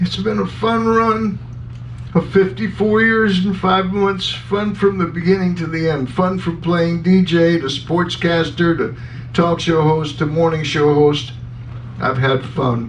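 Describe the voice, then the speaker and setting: A man with a high pitch speaks at a fairly slow pace, his intonation lively. Noticeable background noise and audible room echo fill the recording. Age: 60s. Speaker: radio talk show host. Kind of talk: farewell commentary on radio.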